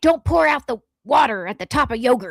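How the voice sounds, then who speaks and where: A put-on character voice in an angry tone, fairly high in pitch and at a fairly quick pace. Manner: angry, bossy, commanding.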